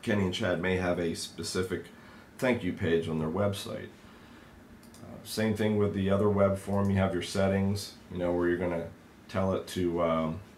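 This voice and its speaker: Amid audible room echo, a man with a very deep, low voice speaks at a moderate pace in a monotone, flat intonation. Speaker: software trainer. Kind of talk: tutorial.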